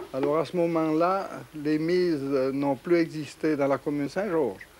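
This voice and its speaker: A man speaks fairly slowly with a Vaud accent and fairly even intonation. His pitch is fairly high, and noticeable background noise is present. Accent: Swiss French (Vaud). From Switzerland, canton of Vaud (village at the foot of the Jura). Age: 70s. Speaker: farmer and sawmill operator. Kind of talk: interview, oral history. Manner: halting, with repetitions.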